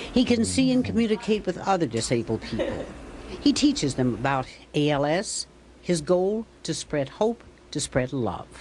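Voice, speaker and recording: With vocal fry and very wide pitch swings, a woman with a fairly low voice speaks at a moderate pace. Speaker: TV news reporter. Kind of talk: TV news feature narration.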